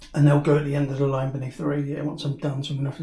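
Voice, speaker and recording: Somewhat breathy and dark, mellow in tone, a man speaks in a monotone, flat intonation with fairly high pitch. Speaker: DIY home renovator. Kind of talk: casual DIY vlog. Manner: casual, hesitant with ums.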